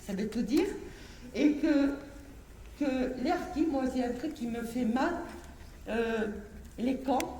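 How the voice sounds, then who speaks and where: Audible room echo carries a woman's high voice, which shows ordinary pitch variation. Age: 60s. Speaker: harki descendant activist. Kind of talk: impassioned public speech.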